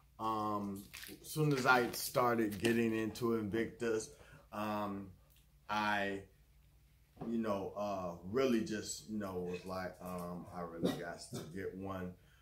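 A man talks at a very slow pace, his loudness swinging widely. Audible room echo and light background noise are present. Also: fairly low pitch for a man, ordinary pitch variation. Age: 50s. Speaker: YouTuber doing unboxings. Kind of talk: unboxing video. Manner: halting, many fillers. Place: home room. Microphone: phone near.

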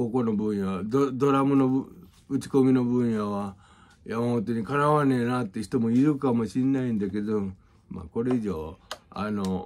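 A man at a fairly slow pace, with ordinary pitch variation. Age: 50s. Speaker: music teacher. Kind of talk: casual monologue and music tutorial. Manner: casual, rambling with many fillers. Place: home room. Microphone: phone near.

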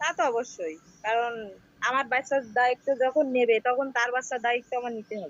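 High pitch from a woman, with ordinary variation. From Bangladesh, Satkhira. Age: 30s. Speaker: divorced woman seeking marriage. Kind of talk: interview.

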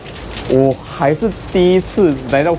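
Noticeable background noise is present throughout. A man talks over it. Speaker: food vlogger. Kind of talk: casual vlog chat. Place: street. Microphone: lapel.

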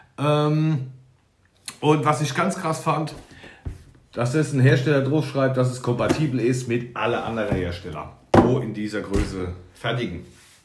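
With faint music in the background, a man speaks at a fairly slow pace with lively intonation and long, frequent pauses. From Palatinate, Germany; Germany. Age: 30s. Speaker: YouTuber reviewing building-brick sets; toy reviewer. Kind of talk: product review. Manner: halting. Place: home room. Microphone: phone near.

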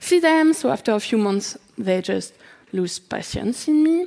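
The voice is a woman's. Her background is quiet. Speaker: conference speaker. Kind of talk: conference talk; conference talk, personal account. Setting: stage with audience. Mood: sad, earnest. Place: stage. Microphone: headset.

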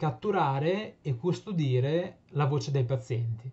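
A fairly slow pace with lively intonation. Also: man. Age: 20s. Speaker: PhD student and patient advocate. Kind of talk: prepared presentation. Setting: remote video link. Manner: formal. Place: home room. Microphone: webcam.

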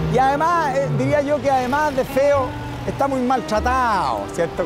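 Clear music plays in the background, and the voice sounds dry with no echo. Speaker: TV city tour host. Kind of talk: casual walking commentary. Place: street.

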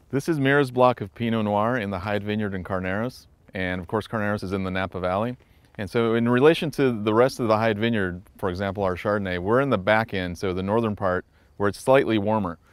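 This man talks at a very fast pace with a fairly low pitch. There is ordinary pitch variation, and the sound is dry with no echo. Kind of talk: interview answer. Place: open country. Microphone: lapel.

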